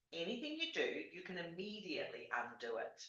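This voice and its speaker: There is audible room echo around a woman's voice. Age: 60s. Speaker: life coach. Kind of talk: tutorial. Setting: video call. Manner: casual, hesitant.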